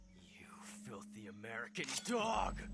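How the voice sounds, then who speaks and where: A man's growling put-on character voice at a fairly slow pace, over clear background noise. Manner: hostile, insulting.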